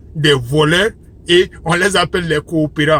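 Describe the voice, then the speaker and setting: A man with a Malian accent, fairly high in pitch, with fairly even intonation at a very slow pace. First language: Bambara (speaking French). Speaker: religious commentator. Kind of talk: religious monologue. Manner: impassioned.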